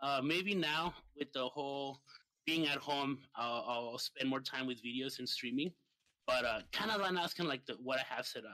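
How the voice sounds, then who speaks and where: A man with a Spanish accent talks at a moderate pace. His tone is bright and sharp, and his intonation is lively. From Mexico, Ciudad Juarez. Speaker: streamer and gamer. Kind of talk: casual chat.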